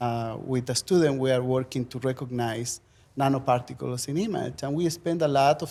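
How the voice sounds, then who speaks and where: Speaking with a strong Chilean accent, a man has a dark, mellow tone. He keeps a moderate pace with ordinary pitch variation. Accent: thick Chilean Spanish. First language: Spanish. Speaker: professor. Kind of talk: panel discussion.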